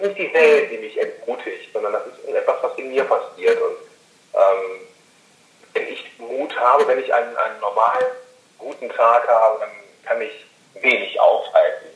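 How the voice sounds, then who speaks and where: A man at a moderate pace, with big swings in loudness, long, frequent pauses and audible room echo. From Rhineland, western Germany. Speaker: podcaster and podcast marketing consultant. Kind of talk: interview. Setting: phone call. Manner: halting, many fillers.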